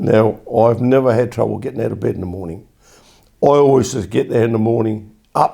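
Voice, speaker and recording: A man with an Essex accent speaks at a fairly quick pace. His voice sits at a medium pitch with ordinary pitch variation. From England. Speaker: war-era army veteran recalling youth. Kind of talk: oral history interview answer.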